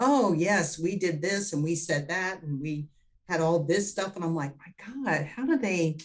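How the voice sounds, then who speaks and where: A woman with an ordinary speaking voice, fairly low pitch, ordinary pitch variation and a fairly slow pace. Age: 60s. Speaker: spiritual healer. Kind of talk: interview.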